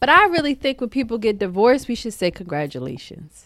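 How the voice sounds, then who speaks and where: A woman speaks with very wide pitch swings. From Philadelphia, US. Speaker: podcast co-host. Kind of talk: casual chat.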